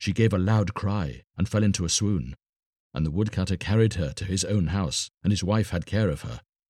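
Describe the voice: Plain reading aloud comes through here. Pitch varies in an ordinary way against a quiet background.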